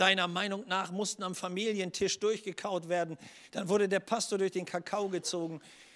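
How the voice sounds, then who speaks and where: A man speaks at a moderate pace in a high, flat monotone, on a very clean recording with a silent background. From northern Germany (Schleswig-Holstein). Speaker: pastor. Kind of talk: sermon.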